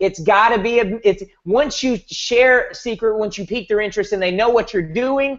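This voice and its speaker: A man with a high voice talks with ordinary pitch variation and hardly any pauses. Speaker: network marketing team leader. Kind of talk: motivational team call. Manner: fast; animated.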